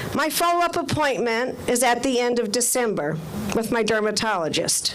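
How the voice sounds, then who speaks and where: A woman's lively, moderately paced speech, with audible room echo and noticeable background noise. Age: 60s. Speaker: community member testifying at rally. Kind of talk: testimony.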